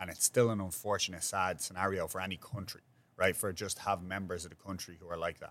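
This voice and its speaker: A man with a very deep, low voice and a Dublin accent, fairly even in intonation, at a fairly quick pace. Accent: Dublin Irish. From Ireland, north side of Dublin. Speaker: podcast host, restaurant owner. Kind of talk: casual chat.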